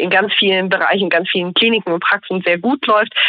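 In a normal speaking voice, a woman of medium pitch talks at a moderate pace with fairly even intonation. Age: 30s. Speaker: junior doctor in general practice training. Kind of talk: interview.

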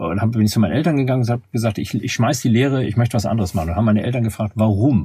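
At a very fast pace, a man speaks with a medium-pitched, dark, mellow, somewhat breathy voice. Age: 50s. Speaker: management consultant. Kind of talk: interview. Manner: halting, frequent word repetitions.

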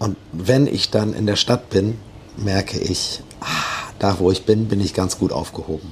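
Noticeable background noise sits behind a man speaking in a fairly low pitch. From Bremen (Osterholz). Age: 40s. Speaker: musician and bar operator. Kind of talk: interview.

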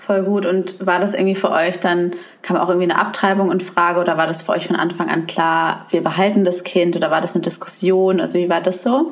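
A woman with a fairly low pitch talks at a fairly quick pace with hardly any pauses and very even loudness. Audible room echo and noticeable background noise surround her. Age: 20s. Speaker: podcast host. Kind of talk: casual chat.

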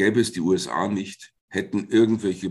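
Against a quiet background, someone with a normal speaking voice talks at a fairly slow pace with fairly even intonation. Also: man. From Germany, Fulda (Hesse). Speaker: Jesuit priest and philosophy professor. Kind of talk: interview.

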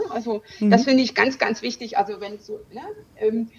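Her voice is an unremarkable speaking voice, fairly high for a woman, with ordinary pitch variation. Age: 40s. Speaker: lawyer and business coach, breast cancer survivor. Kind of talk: interview.

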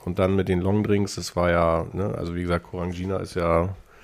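A man's very deep, low voice moves at a moderate pace on a very clean recording with a silent background. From northern Germany, Lower Saxony. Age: 40s. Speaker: self-employed salesperson. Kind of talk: casual chat. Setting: studio.

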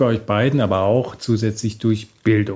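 A man's medium-pitched, ordinary speaking voice at a moderate pace. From Germany, Bonn. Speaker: podcast host. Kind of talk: interview.

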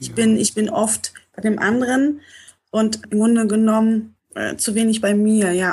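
Somewhat breathy and at a fairly high pitch, a woman speaks at a fairly slow pace with fairly even intonation. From Poland, raised in North Rhine-Westphalia. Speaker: coaching client. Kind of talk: personal coaching talk. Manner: halting, many fillers.

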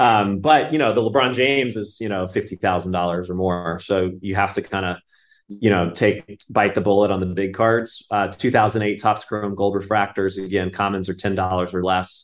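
In an American accent, a man with an ordinary speaking voice talks at a fairly low pitch and moderate pace, with fairly even intonation, hardly any pauses and a quiet background. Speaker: collectibles company CEO. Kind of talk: casual interview.

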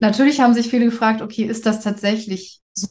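Her voice sits fairly high and comes out somewhat breathy. The woman speaks at a very fast pace with fairly even intonation. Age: 30s. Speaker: actress with breast cancer. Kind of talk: interview. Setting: video call.

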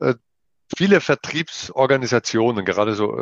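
Medium pitch and a moderate pace from a man with a plain, everyday voice. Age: 50s. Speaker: leadership trainer, business owner. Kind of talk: interview. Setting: video call.

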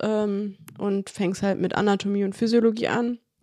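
A woman speaks at a fairly slow pace with a fairly high pitch, on a very clean recording with a silent background. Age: 20s. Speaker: anaesthesia technical assistant trainee. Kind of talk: casual interview chat.

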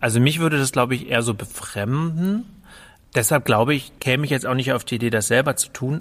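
A man at medium pitch talks at a moderate pace with ordinary pitch variation on a very clean recording with a silent background. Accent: slight northern German. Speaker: cultural centre director. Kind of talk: casual chat.

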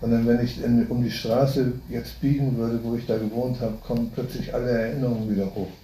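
Over noticeable background noise, a man talks at a fairly quick pace in a monotone, flat intonation at medium pitch, with hardly any pauses. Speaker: audience member asking questions. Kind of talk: casual question and comment.

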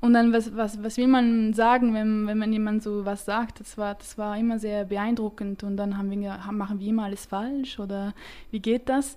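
A woman speaks at a moderate pace in a fairly high voice with a dark, mellow tone, her delivery flat and monotone while the loudness swings widely. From French-speaking Switzerland. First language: French (speaking German). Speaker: startup founder, chemical engineer. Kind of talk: interview. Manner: hesitant, many fillers.

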